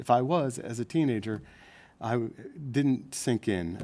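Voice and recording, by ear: The tone is dark and mellow. The intonation is lively. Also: man.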